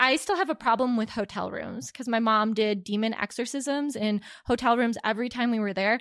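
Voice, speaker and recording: A woman with a plain, everyday voice and fairly high pitch speaks at a fairly quick pace in a very clean recording with a silent background. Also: ordinary pitch variation. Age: 30s. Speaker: tech professional and mother. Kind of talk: casual chat.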